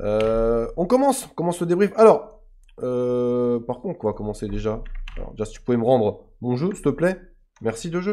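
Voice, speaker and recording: This man has a dark, mellow tone and very wide pitch swings. He speaks at a moderate pace over a quiet background. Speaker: gaming YouTuber. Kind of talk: casual gameplay commentary. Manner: halting, many hesitations.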